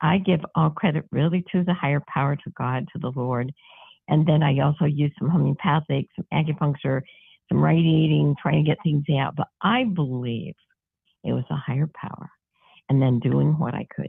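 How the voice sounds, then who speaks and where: This woman has a very deep, low pitch with ordinary pitch variation. She speaks at a moderate pace. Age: 80s+. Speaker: naturopathic doctor and crisis chaplain. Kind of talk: interview answer.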